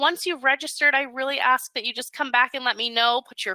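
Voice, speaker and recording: Raising and projecting her voice, a woman speaks high for a woman at a fairly quick pace in a bright, sharp, upbeat, enthusiastic tone, with a dry, close sound and no echo. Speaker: webinar host. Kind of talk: sales pitch. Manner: fast.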